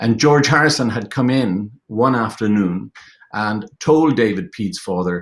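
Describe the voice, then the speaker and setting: In an Irish accent, a man speaks at a fairly slow pace with ordinary pitch variation. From Ireland. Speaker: film director and producer. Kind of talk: panel discussion. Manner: halting, many fillers.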